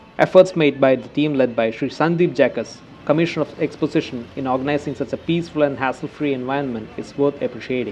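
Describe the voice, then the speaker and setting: Over music in the background, a man speaks very fast, in a Keralan accent, with hardly any pauses. His pitch is fairly high, his intonation fairly even, and his loudness swings widely. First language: Malayalam. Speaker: travel vlogger. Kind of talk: scripted narration.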